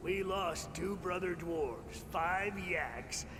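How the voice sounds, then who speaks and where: A man speaks very slowly in a put-on character voice pitched high for a man, over loud background noise. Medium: video game. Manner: blunt, indignant.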